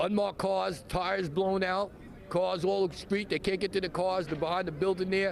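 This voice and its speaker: A man with a high pitch talks at a fairly quick pace in a monotone, flat way. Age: 60s. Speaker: shooting witness. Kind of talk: news interview. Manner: halting.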